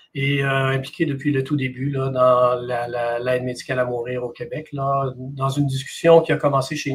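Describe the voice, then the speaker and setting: A man with a Quebec accent, monotone and flat in intonation, over noticeable background noise. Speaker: palliative care doctor. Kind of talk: interview.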